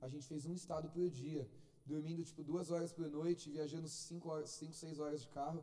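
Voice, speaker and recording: Audible room echo surrounds a man's high voice with a dark, mellow tone. He talks at a fairly quick pace in a monotone, flat intonation. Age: 20s. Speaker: lay preacher. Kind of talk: sermon.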